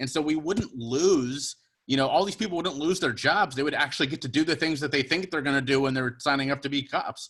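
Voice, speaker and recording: Here a man with a plain, everyday voice speaks in an American accent at a fairly quick pace. His pitch is fairly high, with ordinary variation. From Cincinnati, US Midwest. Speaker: podcast guest. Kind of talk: casual chat.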